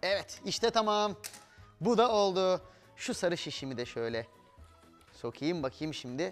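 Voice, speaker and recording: Faint music sits behind a man's voice. He talks at a fairly slow pace. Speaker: TV presenter. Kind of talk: tutorial. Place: studio.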